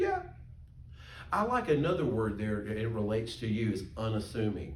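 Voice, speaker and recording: An animated man speaks in a Southern US accent at a medium pitch. Audible room echo carries through the recording. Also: lively intonation, moderate pace. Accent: US South. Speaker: pastor teaching Sunday school. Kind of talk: Sunday school class teaching.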